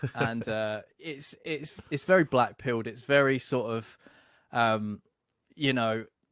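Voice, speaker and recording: Talking at a very slow pace, a man speaks in a British accent. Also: medium pitch for a man, ordinary pitch variation. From UK. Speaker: podcast host. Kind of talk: casual interview chat.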